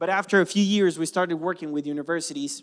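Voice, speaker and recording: In a Spanish accent, a man talks at a fairly quick pace with lively intonation over a quiet background. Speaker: environmental nonprofit founder. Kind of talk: conference talk. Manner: halting, many fillers and restarts.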